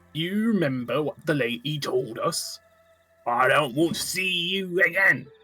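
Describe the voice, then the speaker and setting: A man's put-on character voice, high-pitched and at a moderate pace, with faint music in the background. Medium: actual play. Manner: smug, condescending.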